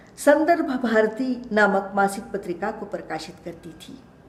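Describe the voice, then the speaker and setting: Through noticeable background noise and audible room echo, a woman speaks in a fairly high voice with lively intonation. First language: Kannada (speaking Hindi). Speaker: retired professor and translator. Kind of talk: lecture. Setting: web lecture. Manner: formal.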